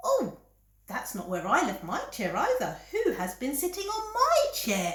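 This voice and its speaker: With slight echo, a woman in a put-on character voice projects at an extremely high pitch, keeping a moderate pace. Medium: read story.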